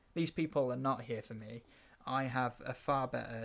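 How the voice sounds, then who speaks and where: Speaking with a Welsh accent, a man uses a medium pitch and fairly even intonation at a fairly slow pace. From Wales. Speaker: podcast host. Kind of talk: casual chat.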